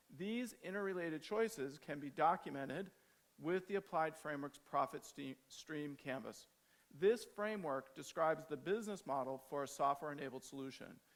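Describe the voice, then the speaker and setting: Using an American accent, a man with an unremarkable speaking voice talks at a moderate pace with lively intonation. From United States. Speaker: agile trainer and conference speaker. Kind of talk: conference talk.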